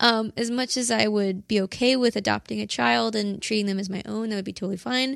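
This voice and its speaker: The recording is very clean and the background is silent. A woman talks with ordinary pitch variation. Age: 20s. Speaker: polyamorous relationship partner. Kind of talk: casual chat.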